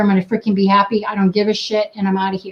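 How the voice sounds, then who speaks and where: A woman talks very fast at a medium pitch. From New England. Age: 50s. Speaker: wellness coach. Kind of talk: interview. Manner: animated.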